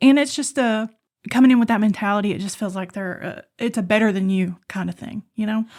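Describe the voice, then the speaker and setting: Woman with a slight Appalachian accent, fairly high in pitch with ordinary variation, fairly quick in pace, with big swings in loudness. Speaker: podcast host. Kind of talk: casual chat.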